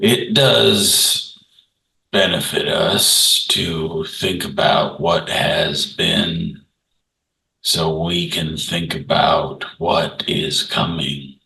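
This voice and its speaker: This man puts on a character voice and talks very slowly. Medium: actual play. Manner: slow, unhurried; plain-spoken, modest.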